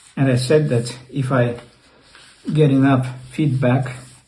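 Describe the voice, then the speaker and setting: Very slowly, a man speaks at a medium pitch with monotone, flat intonation. Audible room echo surrounds his voice. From Russia (Leningrad). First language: Russian. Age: 60s. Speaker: YouTuber. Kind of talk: personal storytelling. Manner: halting.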